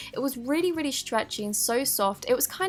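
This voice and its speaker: An upbeat, high-pitched woman at a fairly quick pace, lively in intonation, over noticeable background noise. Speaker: DIY slime YouTuber. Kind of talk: DIY tutorial voice-over.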